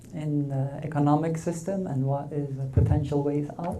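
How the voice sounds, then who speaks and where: The speaker has a Swedish accent and keeps a moderate pace. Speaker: Buddhist dharma teacher. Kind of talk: dharma talk.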